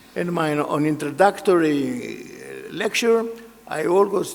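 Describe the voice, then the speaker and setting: A man with a Greek accent speaks at a very slow pace with ordinary pitch variation. Noticeable background noise and audible room echo fill the recording. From Greece. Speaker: engineering association president and professor. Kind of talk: keynote speech. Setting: large hall with audience.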